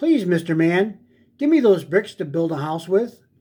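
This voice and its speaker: A man performs a put-on character voice at a high pitch. His pace is moderate. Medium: read story.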